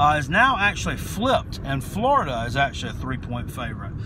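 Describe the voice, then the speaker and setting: Over noticeable background noise, the speech moves at a fairly quick pace in a dry sound with no echo. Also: man. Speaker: sports picks vlogger. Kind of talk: casual vlog chat. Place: car. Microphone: phone near.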